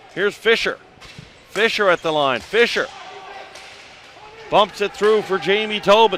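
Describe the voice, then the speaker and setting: Noticeable background noise sits behind this recording. A man with a high pitch speaks at a fairly slow pace. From Newfoundland. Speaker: play-by-play announcer. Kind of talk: live commentary.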